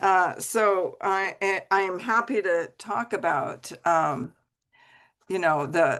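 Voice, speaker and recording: Against a quiet background, a woman speaks at a very slow pace with lively intonation. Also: medium pitch for a woman. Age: 70s. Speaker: depth psychologist and dream expert. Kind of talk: interview conversation.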